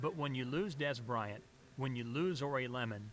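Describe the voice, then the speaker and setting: A man with a medium pitch talks in an enthusiastic tone over music in the background. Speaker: radio play-by-play announcer. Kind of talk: interview answer. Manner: enthusiastic, conversational.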